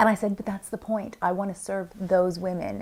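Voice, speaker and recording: This is an ordinary speaking voice, a woman's, in an American accent. Her pitch sits at a medium level and varies in an ordinary way. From US, Washington DC. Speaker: business coach and consultant. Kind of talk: interview monologue.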